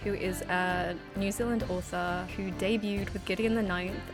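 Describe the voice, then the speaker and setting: A woman at a moderate pace with fairly even intonation, music in the background. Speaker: gaming YouTuber. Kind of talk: casual talk to camera.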